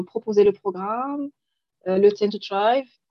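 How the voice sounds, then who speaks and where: A woman speaks at a very slow pace, her medium pitch moving with ordinary variation. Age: 30s. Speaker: life coach. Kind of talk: interview testimony. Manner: halting.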